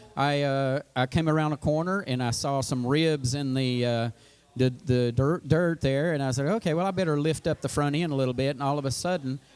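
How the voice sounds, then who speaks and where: A man with a fairly high pitch and ordinary pitch variation talks over music in the background. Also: fairly quick pace. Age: 60s. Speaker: father of the hosts, powerlifter. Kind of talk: casual chat.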